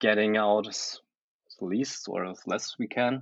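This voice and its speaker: Speaking with a German accent, a man keeps a fairly slow pace, a fairly low pitch and fairly even intonation. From Germany. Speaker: photographer and photo editor. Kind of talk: casual chat.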